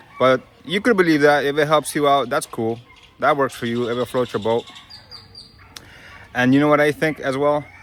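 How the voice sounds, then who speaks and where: A man at a fairly high pitch, ordinary pitch variation and moderate pace, with long, frequent pauses amid noticeable background noise. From Brooklyn, New York. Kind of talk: casual talk to camera.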